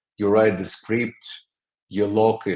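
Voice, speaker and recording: This is a man talking with a non-native accent. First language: not English. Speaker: creative director of a design studio. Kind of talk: interview. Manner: halting.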